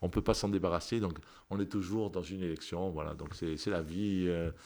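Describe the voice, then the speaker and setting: A man with a very deep, low pitch, fairly quick pace and ordinary pitch variation. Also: very clean recording, silent background. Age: 60s. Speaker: politician and doctor. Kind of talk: radio interview. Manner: hesitant, many repeated words.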